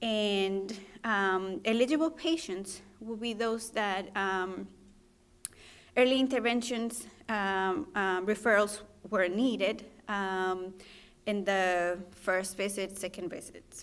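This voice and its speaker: Speaking very slowly with a Spanish accent, a woman uses a medium pitch and ordinary pitch variation. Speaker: physician trainee presenting research. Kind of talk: research presentation. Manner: halting, many fillers.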